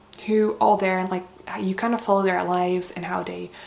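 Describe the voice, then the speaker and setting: Her pitch is medium for a woman, and she speaks with a Dutch accent. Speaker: book vlogger. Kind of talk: casual chat. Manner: casual, hesitant with many fillers.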